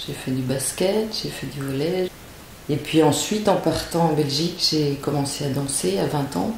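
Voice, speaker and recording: A woman speaks at a fairly slow pace in a very deep, low pitch with ordinary pitch variation. Audible room echo and noticeable background noise surround her. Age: 60s. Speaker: dancer. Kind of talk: interview testimony. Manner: halting.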